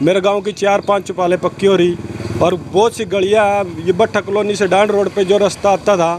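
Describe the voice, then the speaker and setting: With noticeable background noise behind him, a man speaks at a high pitch in monotone, flat intonation. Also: moderate pace. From Haryana, Kurukshetra area. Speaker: villager interviewed. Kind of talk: street interview.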